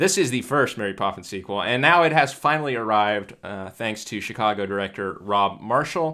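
The recording is very clean and the background silent. A man talks in a bright, sharp tone. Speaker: podcast co-host. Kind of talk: casual movie review chat. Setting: same room, both home for Christmas.

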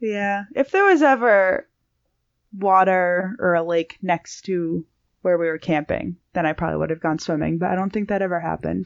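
A woman speaks at a medium pitch and a moderate pace with ordinary pitch variation. Hers is an unremarkable speaking voice. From Massachusetts. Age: 20s. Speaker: hiker and YouTuber. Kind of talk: casual chat.

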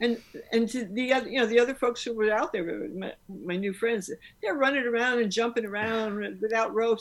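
A woman with a normal speaking voice, fairly high pitch, ordinary pitch variation, a fairly quick pace and an American accent. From New York City. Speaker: author and rock climber. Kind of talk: interview.

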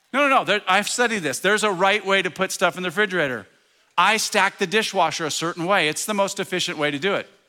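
Very fast and animated, a man projects a raised voice with a high pitch and a bright, sharp tone over a very clean, silent background. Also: ordinary pitch variation. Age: 60s. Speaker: preacher. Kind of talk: sermon.

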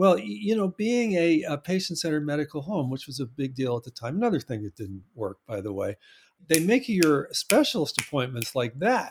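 In a dry, close recording with no echo, a man speaks fairly quickly with a fairly high pitch, very wide pitch swings and a somewhat breathy tone. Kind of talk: interview chat. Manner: hesitant, filler-heavy.

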